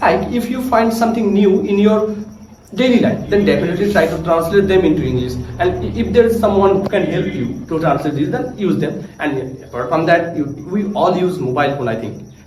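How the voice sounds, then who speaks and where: A man's high pitch and lively intonation, with audible room echo and noticeable background noise. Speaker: English learning vlogger. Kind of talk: casual tutorial vlog. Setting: cousin's house. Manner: trying to speak slowly, with hesitations.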